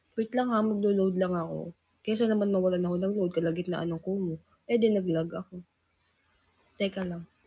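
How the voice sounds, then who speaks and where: A somewhat breathy woman with a dark, mellow tone, a medium pitch and fairly even intonation, at a fairly quick pace with long, frequent pauses. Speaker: livestreamer, singer in a group. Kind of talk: casual livestream chat.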